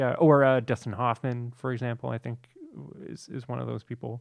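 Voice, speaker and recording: Using a normal speaking voice, a man holds a medium pitch and a moderate pace. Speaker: actor, guest. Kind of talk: casual chat.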